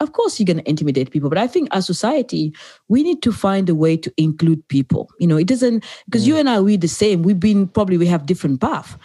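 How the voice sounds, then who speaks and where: A very fast, somewhat breathy woman's voice with a dark, mellow tone, very wide pitch swings, and a dry, close sound with no echo. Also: medium pitch for a woman. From Africa. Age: 40s. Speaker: podcast host. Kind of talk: interview.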